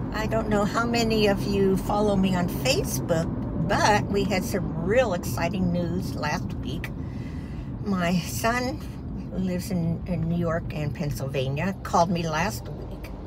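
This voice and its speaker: Loud noise sits behind a woman speaking at a fairly slow pace. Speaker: vlogger. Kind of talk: casual vlog chat. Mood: proud, cheerful. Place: car. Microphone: phone near.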